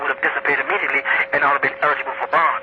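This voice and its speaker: Noticeable background noise runs under a man talking at a very fast pace. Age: 50s. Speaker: incarcerated religious leader. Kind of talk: interview.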